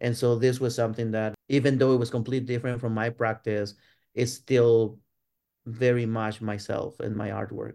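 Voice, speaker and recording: A man's medium-pitched, dark, mellow voice with a Spanish accent, flat and monotone at a moderate pace over a quiet background. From Mexico, Ciudad Juarez. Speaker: art professor. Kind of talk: interview.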